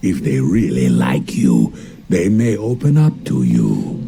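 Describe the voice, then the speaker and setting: A man puts on a character voice, very deep and low, with very wide pitch swings. He speaks at a fairly slow pace over clear background noise. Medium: game stream. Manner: calm, measured.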